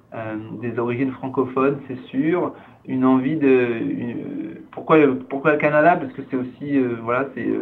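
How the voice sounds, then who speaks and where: Here a man speaks at a medium pitch, fairly slowly and with fairly even intonation. Audible room echo and noticeable background noise fill the recording. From France. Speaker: cultural organization director. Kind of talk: interview. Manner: halting.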